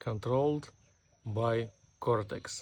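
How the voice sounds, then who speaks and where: Very slow, somewhat breathy speech with fairly even intonation on a very clean recording with a silent background. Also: man. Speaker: self-improvement vlogger. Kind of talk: unscripted monologue. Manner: robotic, deliberate.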